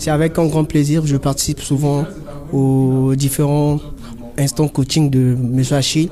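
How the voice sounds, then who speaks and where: A fairly high-pitched man at a fairly slow pace, in a flat monotone with very even loudness. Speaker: job seeker, coaching participant. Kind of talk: testimony.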